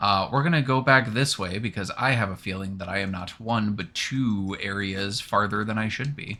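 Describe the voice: The clip is plain reading aloud. Pitch varies in an ordinary way.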